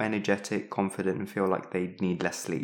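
The recording is very clean and the background silent. On it, a man talks with a British accent. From East of England. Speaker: clinical teaching fellow, co-host. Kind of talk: educational podcast with jokey banter.

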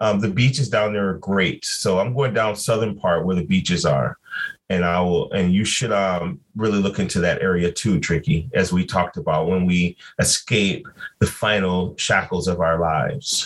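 A man with an American accent and an unremarkable speaking voice, fairly low in pitch, with ordinary pitch variation and a moderate pace. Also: very even loudness. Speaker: podcast co-host. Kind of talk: casual chat.

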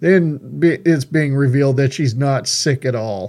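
On a very clean recording with a silent background, a man with a plain, everyday voice speaks fairly slowly at a fairly high pitch with ordinary pitch variation. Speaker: radio host. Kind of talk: radio talk show, interview and angry rant. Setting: studio. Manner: ranting, fired-up, angry.

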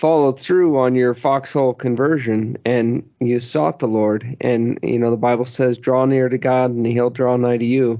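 At a moderate pace and with hardly any pauses, a man speaks in an unremarkable speaking voice of medium pitch, his intonation fairly even and his loudness very even. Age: 30s. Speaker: podcast host. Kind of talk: interview conversation.

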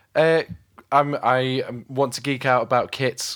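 Here a man with a British accent speaks at medium pitch with fairly even intonation. The recording is very clean, the background silent. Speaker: podcast host; drummer and recording engineer. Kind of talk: casual interview chat.

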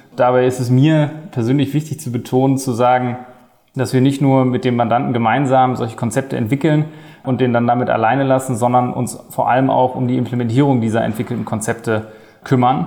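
He talks fairly quickly at a medium pitch, his intonation fairly even. This man has an ordinary speaking voice. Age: 20s. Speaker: management consultant. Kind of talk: job interview podcast.

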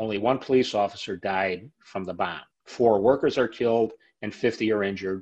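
A man with an American accent has an unremarkable speaking voice, pitched fairly low. He keeps a moderate pace and fairly even intonation. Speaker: ironworker and labor historian. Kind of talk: interview, historical storytelling.

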